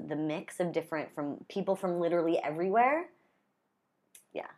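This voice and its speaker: A woman with a Pacific Northwest accent speaks at a moderate pace and fairly low pitch, with ordinary pitch variation, in a very clean recording with a silent background. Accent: American, Pacific Northwest. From US Pacific Northwest (Gresham, near Portland, Oregon). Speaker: freelance artist and marketer. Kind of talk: casual chat.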